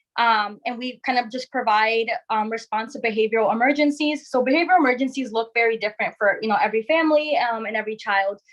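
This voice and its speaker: A woman with an American accent talks at a very fast pace with hardly any pauses. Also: ordinary pitch variation. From Connecticut. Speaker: crisis clinician. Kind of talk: panel presentation.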